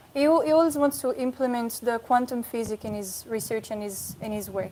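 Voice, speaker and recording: Delivered at a fairly quick pace over noticeable background noise, the speech has big swings in loudness and ordinary pitch variation. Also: woman, fairly high pitch for a woman. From France. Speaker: yoga student. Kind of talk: interview.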